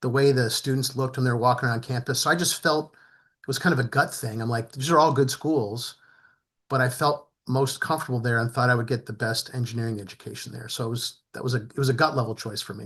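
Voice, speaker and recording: Against a quiet background, a man with an American accent speaks very fast at medium pitch with fairly even intonation. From New Jersey. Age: 60s. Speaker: retired business executive, panelist. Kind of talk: panel discussion.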